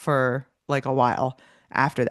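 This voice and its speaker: A woman is speaking. The background is quiet. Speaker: personal finance podcast host. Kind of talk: interview. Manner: casual, chatty.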